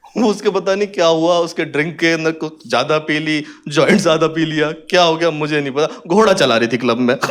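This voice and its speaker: This man speaks at a high pitch. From Haryana. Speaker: stand-up comedian. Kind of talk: stand-up comedy set.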